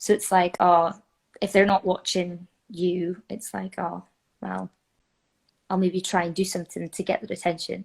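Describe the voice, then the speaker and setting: In a Scottish accent, a woman at medium pitch speaks at a moderate pace with monotone, flat intonation on a very clean recording with a silent background and a dry, close sound with no echo. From North East Scotland. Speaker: musical theatre performer. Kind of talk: interview answer. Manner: casual.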